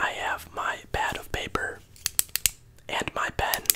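A man is whispering. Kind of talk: soft role-play chat to the viewer. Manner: soft close-mic ASMR voice, barber roleplay. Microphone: studio mic.

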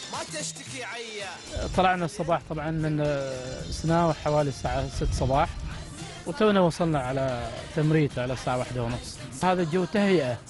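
Clear music plays in the background. A man speaks in a dry recording with no echo. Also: ordinary pitch variation, moderate pace. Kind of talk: interview answer. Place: car. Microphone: handheld.

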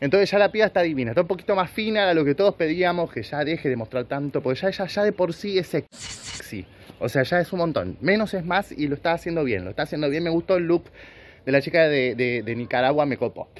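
The man's delivery is very fast. His intonation stays lively throughout. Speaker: commentary vlogger. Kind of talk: casual comedic commentary. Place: garden. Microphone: phone near.

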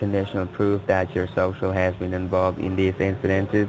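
This man's fairly low voice comes through noticeable background noise. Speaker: phone scammer posing as a government agent. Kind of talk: scam phone call. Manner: hesitant, many filler words.

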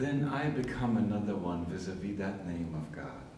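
A man's voice comes through light background noise with audible room echo. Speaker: spiritual teacher. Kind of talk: lecture. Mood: warm, contemplative. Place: empty room. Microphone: old recording.

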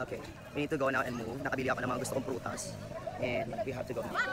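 A man talks at a very fast pace and a medium pitch, with little pitch movement. Clear background noise, including clear crowd noise, fills the background.

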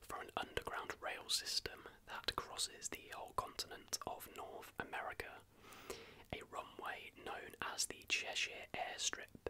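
A man whispers softly over noticeable background noise. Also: fairly slow pace. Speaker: video host. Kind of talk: casual commentary on conspiracy theories. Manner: soft close ASMR whisper. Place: home room.

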